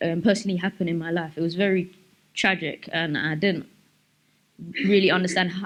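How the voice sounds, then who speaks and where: A woman speaks at a moderate pace with a South London accent. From South London, England. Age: 20s. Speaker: speaker sharing life story. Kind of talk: personal testimony talk. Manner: halting, many fillers.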